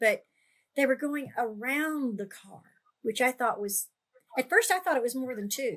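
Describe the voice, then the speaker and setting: Lively intonation at a moderate pace. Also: woman. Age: 80s+. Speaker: paranormal storyteller. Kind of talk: casual chat.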